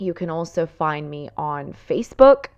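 A woman with a fairly low pitch talks at a very slow pace against a quiet background. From Italy, raised in Dubai. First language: Italian. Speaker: fitness and nutrition coach, podcast host. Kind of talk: casual solo monologue, telling personal story. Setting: solo podcast recording. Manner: chatty, enthusiastic, rambling.

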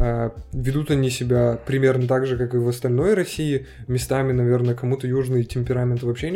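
The man's tone is dark and mellow. He speaks at a fairly quick pace. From Turkmenistan (Ashgabat). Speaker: podcast co-host. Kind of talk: casual chat.

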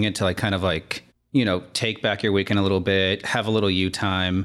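At a moderate pace, a man with a fairly low pitch speaks in an ordinary speaking voice. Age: 20s. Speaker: podcast co-host. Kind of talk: casual chat.

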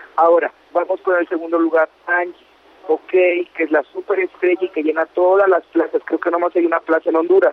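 Speaking at a fairly quick pace, a man with a high pitch keeps a monotone, flat intonation. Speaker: entertainment radio host. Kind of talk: casual chat.

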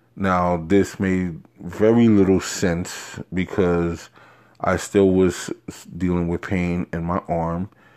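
In a very clean recording with a silent background, a man with a New York accent speaks very slowly in a very deep, low, flat monotone. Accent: New York City. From New York City, Harlem. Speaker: solo podcaster. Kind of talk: casual monologue.

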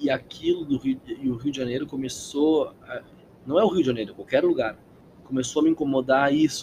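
With a plain, everyday voice, a man talks at a fairly quick pace in a fairly high pitch, with ordinary pitch variation. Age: 20s. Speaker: actor and pony breeder. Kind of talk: casual interview chat.

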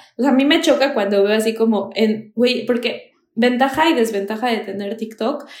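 Audible room echo surrounds a woman's fairly high voice. She keeps a moderate pace with ordinary pitch variation. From Mexico, Toluca. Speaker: content creator, Mexican living abroad. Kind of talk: casual chat. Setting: video call.

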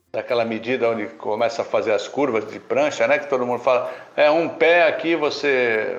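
The speaker goes at a moderate pace with hardly any pauses, and audible room echo surrounds the voice. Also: man. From Laguna, Santa Catarina, southern Brazil. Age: 60s. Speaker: surf competition judge. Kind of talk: casual chat.

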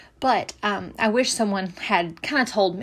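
A shaky woman talks at a medium pitch and a fairly slow pace, with ordinary pitch variation. The recording is very clean, with a silent background. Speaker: podcast host, medical student. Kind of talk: casual advice monologue. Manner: shaky voice.

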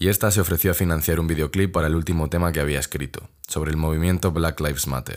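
Vocal fry at a very fast pace, with fairly even intonation, in a very clean recording against a silent background. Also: man. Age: 20s. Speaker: young journalist podcaster. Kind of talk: casual solo podcast narration.

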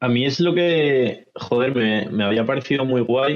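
At a fairly slow pace, a man with lively intonation speaks in an ordinary speaking voice. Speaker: podcast host. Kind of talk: casual panel discussion.

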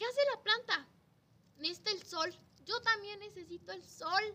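Raising and projecting her voice, a woman with a Mexican accent speaks at a moderate pace in a bright, sharp tone. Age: 20s. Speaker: primary school teacher. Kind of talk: casual chat.

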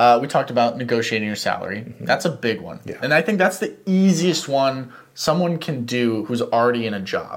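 A man speaks in a plain, everyday voice at medium pitch, moving at a fairly quick pace with hardly any pauses. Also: lively intonation. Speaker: podcast co-host. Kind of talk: casual chat.

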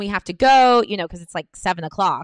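A woman with an American accent and a normal speaking voice, medium pitch with ordinary pitch variation, fairly quick pace, dry, close sound with no echo, quiet background. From United States. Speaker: comedian. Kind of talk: casual interview. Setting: home recording with drilling noise.

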